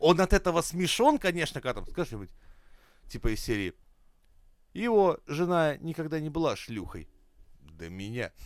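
A man speaks in an animated tone at a fairly high pitch, with very wide pitch swings and big swings in loudness. Long, frequent pauses break his speech on a very clean recording with a silent background. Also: moderate pace. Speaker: podcast host. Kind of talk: casual comedic banter. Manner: joking, profane, animated.

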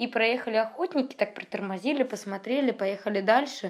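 A woman talks at a fairly quick pace with ordinary pitch variation in an ordinary speaking voice. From Russia, St Petersburg. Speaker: traveler and travel blogger. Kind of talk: interview storytelling.

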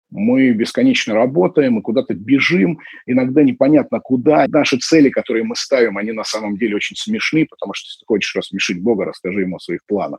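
A man's medium-pitched voice at a very fast pace, with lively intonation and big swings in loudness, in a dry, close recording with no echo. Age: 30s. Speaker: event company founder. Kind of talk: monologue interview.

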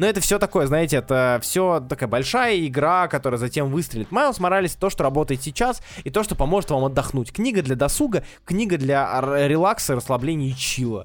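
A man talks at a fairly quick pace with lively intonation and an animated tone. His loudness stays very even. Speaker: comics podcast co-host. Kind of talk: casual chat.

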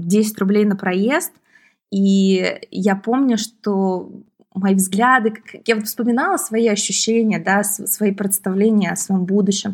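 This woman has a plain, everyday voice, medium in pitch, with fairly even intonation and a fairly slow pace. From Moscow region, Russia. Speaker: entrepreneur and author. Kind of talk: casual interview chat.

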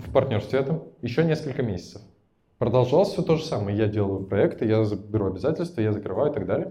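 A man with a dark, mellow tone and medium pitch talks at a very fast pace, somewhat breathy, with very wide pitch swings. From Russia, Tatarstan (Naberezhnye Chelny). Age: 20s. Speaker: entrepreneur and podcast host. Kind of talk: personal life story told to a live audience. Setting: event with live audience. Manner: casual, improvised.

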